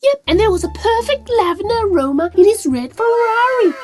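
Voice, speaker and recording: In a cartoonish character voice, a female-sounding speaker pitches extremely high and moves at a fairly quick pace. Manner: warm, gushing.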